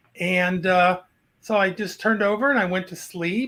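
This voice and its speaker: A man projects a raised voice at a high pitch with a bright, sharp tone, moving at a fairly slow pace. The recording is very clean, with a silent background. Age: 60s. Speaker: caller sharing a paranormal story. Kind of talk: storytelling on a live video.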